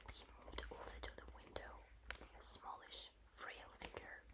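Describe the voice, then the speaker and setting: A whispering woman over noticeable background noise. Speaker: ASMR creator. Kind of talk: audiobook-style reading. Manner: soft, slow, gentle.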